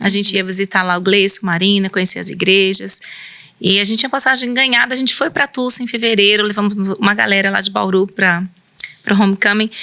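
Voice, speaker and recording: A woman with a rural São Paulo accent talks in a bright, sharp tone with fairly even intonation. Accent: São Paulo countryside (caipira). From interior of São Paulo state, Brazil. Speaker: missionary and pastor's wife. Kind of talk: interview testimony.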